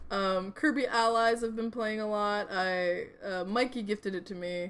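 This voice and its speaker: At a moderate pace, a woman speaks in an ordinary speaking voice with a fairly high pitch. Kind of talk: casual chat.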